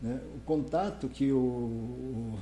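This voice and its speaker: The room echo is easy to hear as a man talks in a somewhat breathy voice with a dark, mellow tone. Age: 60s. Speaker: politician. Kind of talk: interview. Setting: live-streamed podcast in coworking space.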